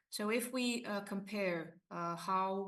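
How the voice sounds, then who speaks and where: A woman speaks with a Hungarian accent. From Romania, ethnic Hungarian minority. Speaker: university lecturer and researcher. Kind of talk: conference presentation. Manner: hesitant, many fillers.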